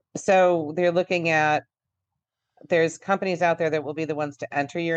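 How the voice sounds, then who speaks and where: Over a quiet background, a woman with an American accent speaks at a moderate pace with fairly even intonation, the sound dry and close with no echo. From Buffalo area, western New York. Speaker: dental insurance coach. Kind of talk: interview. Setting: radio studio.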